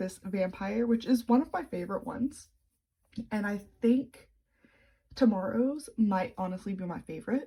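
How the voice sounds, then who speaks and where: A woman's somewhat breathy, fairly high voice with a dark, mellow tone, ordinary pitch variation, big swings in loudness and long, frequent pauses. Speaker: crochet tutorial maker. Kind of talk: tutorial. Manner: casual, chatty.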